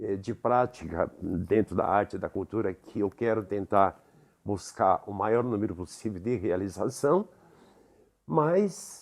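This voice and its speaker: A man's fairly low voice with lively intonation. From Brazil, São Paulo area (Carapicuíba). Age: 70s. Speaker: theatre director and actor. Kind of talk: interview. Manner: reflective, with hesitations.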